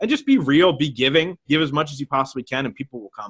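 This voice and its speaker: Talking at a very fast pace, a man speaks with a fairly high pitch. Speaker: podcaster and coach. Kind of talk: interview.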